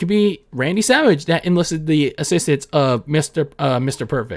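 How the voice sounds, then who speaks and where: On a very clean recording with a silent background, a man with a plain, everyday voice and a fairly high pitch talks at a moderate pace with lively intonation. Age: 20s. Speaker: wrestling and sports podcast host. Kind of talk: solo podcast commentary. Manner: casual, with filler words and self-corrections.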